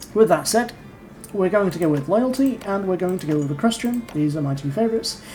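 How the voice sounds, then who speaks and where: Lively intonation from a woman with a fairly low voice, with noticeable background noise. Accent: English. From England. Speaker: gaming YouTuber. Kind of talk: game commentary with reading aloud.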